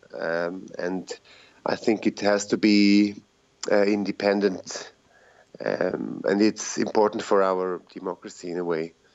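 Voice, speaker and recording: Fairly low-pitched and in a Swiss German accent, a man speaks at a fairly slow pace with monotone, flat intonation. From Switzerland, Zurich. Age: 40s. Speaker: rapper and teacher. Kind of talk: casual interview.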